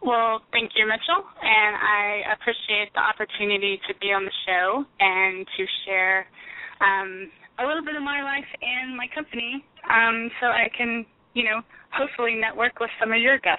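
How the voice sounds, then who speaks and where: With an American accent, a woman speaks fairly slowly in a fairly high voice over noticeable background noise. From Texas (Houston, Alvin, The Woodlands). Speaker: business owner. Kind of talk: interview.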